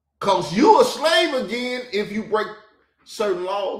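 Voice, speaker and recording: With an American accent, a man talks at a moderate pace, audible room echo around his voice. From US South. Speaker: podcast host. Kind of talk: reaction commentary. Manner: animated.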